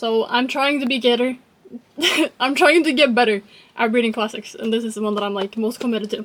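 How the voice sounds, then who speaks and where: Over noticeable background noise, a woman with a fairly high pitch talks at a fairly quick pace, with ordinary pitch variation and long, frequent pauses. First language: not English (English is third language). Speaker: book vlogger. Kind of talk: casual vlog.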